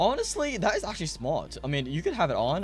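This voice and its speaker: A man's very fast speech with vocal fry. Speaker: gaming youtuber. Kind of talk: tutorial. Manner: casual, filler-heavy.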